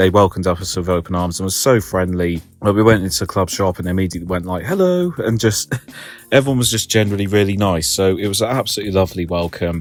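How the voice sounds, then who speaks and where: A man's very deep, low voice with an English accent at a very fast pace. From England. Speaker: football groundhopping vlogger. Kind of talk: casual vlog review. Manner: animated.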